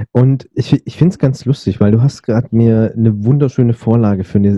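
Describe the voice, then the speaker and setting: A man's voice at medium pitch. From Berlin, Germany. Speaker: podcast host. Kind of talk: interview; scripted narration. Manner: hesitant with fillers.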